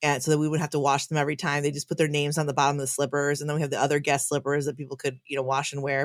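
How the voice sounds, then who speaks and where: A woman with a Chicago accent, very deep, low pitch, monotone, flat intonation and a very fast pace. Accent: Chicago American English. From US Midwest, Chicago. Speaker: pastor. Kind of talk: casual chat.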